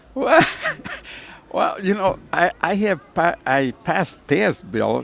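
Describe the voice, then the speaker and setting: Very wide pitch swings mark this man's speech at a fairly slow pace. Noticeable background noise runs underneath. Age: 80s+. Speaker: amateur racing driver. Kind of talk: casual interview. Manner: halting.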